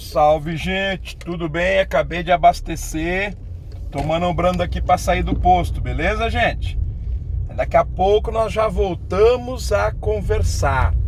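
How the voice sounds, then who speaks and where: A man speaks at a fairly slow pace. The room echo is audible, and there is noticeable background noise. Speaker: geography teacher YouTuber. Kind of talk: casual vlog while driving. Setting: in a car.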